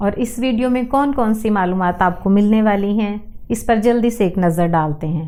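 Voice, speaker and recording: Her tone dark and mellow, a woman speaks at medium pitch with ordinary pitch variation. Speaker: language and accent educator. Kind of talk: educational talk to camera.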